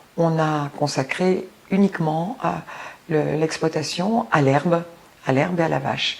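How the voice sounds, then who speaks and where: There is noticeable background noise as a woman talks at a fairly slow pace. Her pitch is fairly low, with ordinary variation. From France, Auvergne (Cantal, Cézallier). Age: 60s. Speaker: retired history teacher. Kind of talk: interview testimony.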